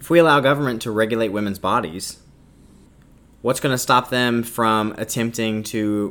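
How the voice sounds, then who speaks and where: This man has a plain, everyday voice pitched in the medium range. He keeps a moderate pace with ordinary pitch variation. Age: 20s. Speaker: podcast host and student. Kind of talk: solo opinion monologue.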